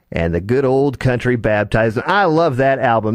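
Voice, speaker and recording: A man has a plain, everyday voice with an American accent and a medium pitch. He talks at a fairly quick pace with ordinary pitch variation. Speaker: internet radio disc jockey hosting a classic country show. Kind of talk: radio DJ patter between songs.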